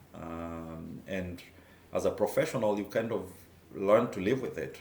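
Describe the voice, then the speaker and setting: Speaking at a fairly slow pace with a Kenyan accent, a man swings widely in loudness while room echo is audible. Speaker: taekwondo instructor and former reporter. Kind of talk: personal testimony. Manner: halting, many fillers.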